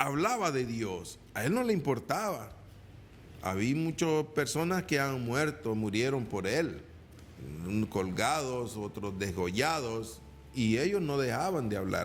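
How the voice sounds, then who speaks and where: A man at a medium pitch and very slow pace, with very wide pitch swings and audible room echo. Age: 60s. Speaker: evangelical preacher. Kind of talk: sermon. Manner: halting, repeats words.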